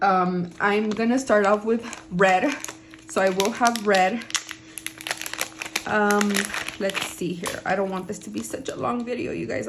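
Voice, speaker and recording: A woman's animated tone at a medium pitch with ordinary pitch variation, plus audible room echo and noticeable background noise. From Southern California. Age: 30s. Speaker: lifestyle and budgeting vlogger. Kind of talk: casual vlog talk to camera. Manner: animated, chatty.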